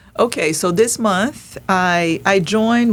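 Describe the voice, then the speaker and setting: A woman talks with ordinary pitch variation. Noticeable background noise runs beneath her voice. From Brazil, Rio de Janeiro. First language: Portuguese. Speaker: artist. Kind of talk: podcast interview. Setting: studio podcast recording. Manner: halting, with frequent repetitions.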